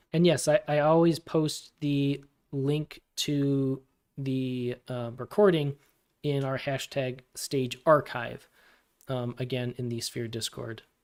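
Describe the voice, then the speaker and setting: In a very clean recording with a silent background, a man of medium pitch speaks at a very slow pace with fairly even intonation. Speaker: community manager hosting crypto AMA. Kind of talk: live AMA Q&A stream. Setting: livestream on Discord, YouTube and Twitter Spaces. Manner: hesitant, many fillers.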